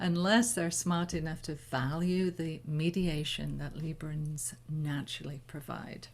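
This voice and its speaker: Somewhat breathy and very deep and low in pitch, a woman with an English accent talks at a fairly slow pace with ordinary pitch variation. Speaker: spiritual teacher leading new moon ceremony. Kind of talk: talk before guided meditation. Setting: live online stream.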